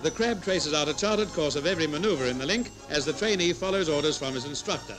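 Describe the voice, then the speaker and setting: A man talks at a very fast pace with ordinary pitch variation. Clear music plays in the background. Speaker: newsreel narrator. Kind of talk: commentary.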